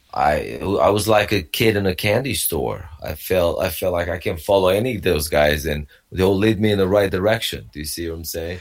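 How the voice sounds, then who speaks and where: A man with a Romanian accent and fairly low pitch, at a moderate pace. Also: very clean recording, silent background. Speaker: wrestling coach and personal trainer. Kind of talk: interview. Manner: halting.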